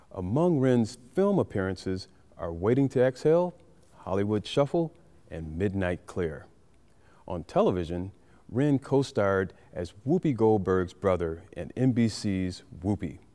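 Speaking at a fairly slow pace, a man uses lively intonation with a fairly low pitch and a dark, mellow tone. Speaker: interview host. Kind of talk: show introduction. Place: hall.

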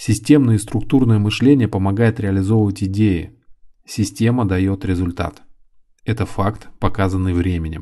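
Over a quiet background, a man with a fairly low pitch and a dark, mellow tone speaks at a very slow pace with ordinary pitch variation. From Volgograd, southern Russia. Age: 30s. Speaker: hairdresser and author. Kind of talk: reading aloud.

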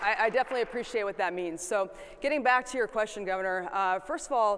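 A woman with an American accent talks at a fairly quick pace in a medium pitch and a fairly bright tone, with ordinary pitch variation. Faint crowd noise and other faint noise sit in the background.

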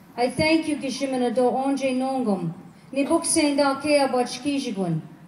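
A woman speaks at a moderate pace with a high pitch, a solemn, warm tone and ordinary pitch variation. Light background noise and audible room echo are present. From Quebec, Algonquin community. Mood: solemn, reverent. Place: open country. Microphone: camera far.

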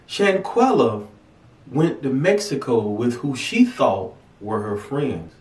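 Audible room echo colors the recording. The man talks at a very slow pace. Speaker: pastor. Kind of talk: devotional vlog address. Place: studio.

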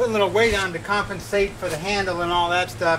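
There is noticeable background noise in this clip. A man speaks at a fairly quick pace. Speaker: home DIY vlogger. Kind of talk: tutorial. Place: street.

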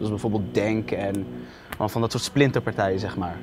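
Light background noise sits under a man's speech. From Netherlands. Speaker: vlogger interviewing a politician. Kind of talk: casual interview. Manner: animated. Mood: playful, laughing. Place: studio. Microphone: lapel.

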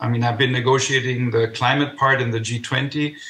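The delivery is monotone, with flat intonation at a moderate pace. Audible room echo surrounds the voice. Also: man. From Germany. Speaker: economist and former government adviser; remote panellist. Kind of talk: panel discussion. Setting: video call. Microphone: video call.

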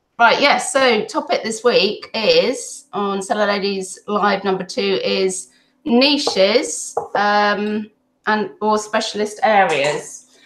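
At a very slow pace, a woman talks with ordinary pitch variation, audible room echo and light background noise. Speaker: host of group livestream. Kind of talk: casual hosting chat. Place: home room. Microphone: video call.

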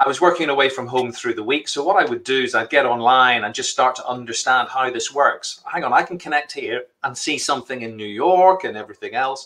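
With a Northern Irish accent, the speaker goes at a fairly quick pace with hardly any pauses and ordinary pitch variation. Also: man, medium pitch for a man. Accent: Northern Irish (Belfast). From Northern Ireland, Belfast. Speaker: entrepreneur; guest. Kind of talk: live interview. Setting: live stream. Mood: animated, cheerful. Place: home room. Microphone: video call.

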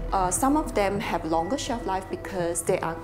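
Over clear background music, a woman speaks at a moderate pace in a fairly low pitch. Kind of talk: interview answer. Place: shop.

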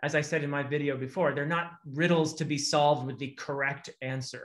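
The background is quiet as a man speaks at a moderate pace. His pitch is fairly high. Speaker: literature academic and video host. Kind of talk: casual discussion. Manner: animated. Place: home room. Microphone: video call.

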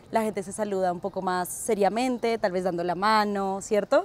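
With fairly even intonation and a dry sound without echo, a woman uses an ordinary speaking voice pitched fairly high. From Colombia, Ecuador and Peru. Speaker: interviewee. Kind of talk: interview. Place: street. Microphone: lapel.

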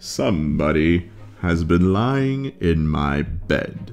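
Over clear background music, a man uses a put-on character voice at a very slow pace. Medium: read story. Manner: indignant, booming.

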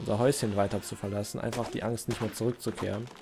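Over noticeable background noise, a man at a medium pitch talks very fast. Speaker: gaming video creator. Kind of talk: let's play commentary. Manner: hesitant, many fillers. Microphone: new mic without pop filter.

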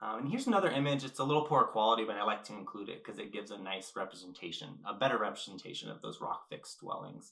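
A man of medium pitch speaks with an American accent. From California. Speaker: ceramic artist. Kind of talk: lecture.

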